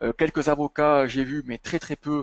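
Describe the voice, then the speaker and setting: A man speaks with a slight southern French accent. His pitch is fairly high. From southern France, Montpellier area. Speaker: chartered accountant. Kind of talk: webinar presentation and Q&A. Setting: online webinar. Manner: hesitant, many fillers.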